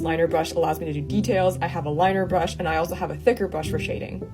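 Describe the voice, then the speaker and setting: This woman talks at a very fast pace. Music can be heard behind her. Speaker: artist. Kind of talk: art supplies talk to camera.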